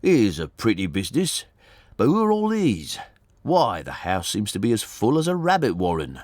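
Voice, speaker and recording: A man's put-on character voice, husky and medium in pitch, at a moderate pace. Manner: loud, exclaiming.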